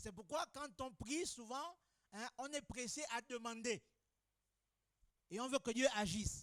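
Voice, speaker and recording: Pitched extremely high, a man speaks fairly slowly in a dry, close sound with no echo. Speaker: pastor. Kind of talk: sermon.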